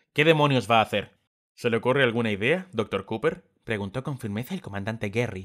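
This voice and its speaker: In a normal speaking voice, a man of medium pitch talks at a fairly quick pace with ordinary pitch variation. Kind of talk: dramatic audiobook narration.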